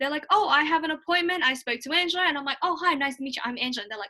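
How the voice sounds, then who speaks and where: A woman talks very fast at a high pitch, her voice raised and projected in an Australian accent. The tone is bright and sharp, and the intonation is lively. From Australia, raised there from age seven; early childhood in Hong Kong. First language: Mandarin Chinese. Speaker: student YouTuber. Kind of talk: casual chat. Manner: animated.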